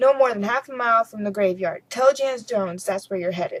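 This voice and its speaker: Putting on a character voice, a woman growls out gruff lines at a very fast pace, her pitch fairly high and her pitch variation ordinary. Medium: read story. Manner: gruff, terse, growling.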